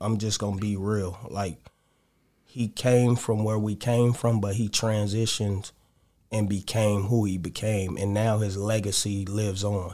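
A man speaks at a fairly low pitch and a fairly slow pace. His dark, mellow tone stays monotone and flat. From Los Angeles, Crenshaw District. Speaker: DJ and rapper. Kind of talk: casual interview.

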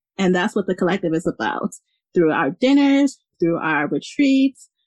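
Lively intonation in a dry, close sound with no echo. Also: woman.

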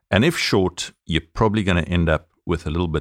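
A man with a South African accent speaks with ordinary pitch variation in a dry, close sound with no echo. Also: very clean recording, silent background. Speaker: podcast co-host, former accountant. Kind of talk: casual chat.

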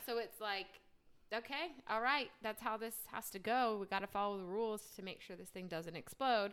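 A woman with an American accent uses an unremarkable speaking voice with ordinary pitch variation. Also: fairly high pitch for a woman, moderate pace. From New Jersey. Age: 30s. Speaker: podcast co-host, sports PR professional. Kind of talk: casual chat.

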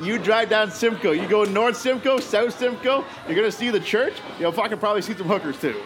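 Fairly quick, high-pitched male speech with ordinary pitch variation amid noticeable background noise. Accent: Canadian. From Ontario, Canada (Oshawa). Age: 30s. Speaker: professional wrestler. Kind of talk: casual chat.

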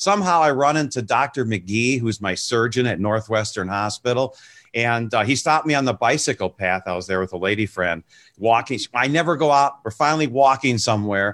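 With an American accent, a man speaks fairly quickly at medium pitch in a plain, everyday voice. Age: 60s. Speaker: music TV show host. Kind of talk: casual interview chat. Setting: video call.

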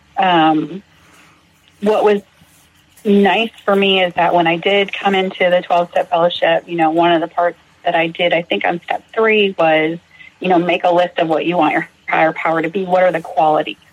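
At a moderate pace, a woman with an American accent speaks in a fairly low pitch with monotone, flat intonation over noticeable background noise. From Massachusetts. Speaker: recovering alcoholic, nursing student. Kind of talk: personal testimony interview.

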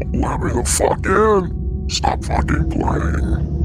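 Loud music plays in the background as a man in a put-on character voice speaks at a very slow pace. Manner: halting.

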